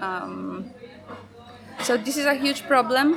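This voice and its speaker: Speaking very slowly with a Polish accent, a woman is heard over noticeable background noise with audible room echo. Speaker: feminist activist and event organizer. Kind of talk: interview. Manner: halting, many fillers.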